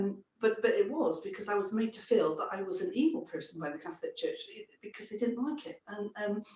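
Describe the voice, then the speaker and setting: The speaker talks fairly quickly, with very wide pitch swings and big swings in loudness. The voice is somewhat breathy. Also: woman. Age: 60s. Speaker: psychic medium. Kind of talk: interview.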